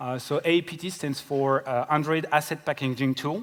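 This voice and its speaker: Moderate pace, a French accent and ordinary pitch variation. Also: man. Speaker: software engineer. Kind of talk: conference talk. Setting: stage with audience. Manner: hesitant, many fillers.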